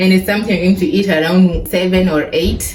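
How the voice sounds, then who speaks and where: Music can be heard in the background. A woman talks amid audible room echo. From Kenya. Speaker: vlogger. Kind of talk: casual vlog talk. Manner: conversational, informal.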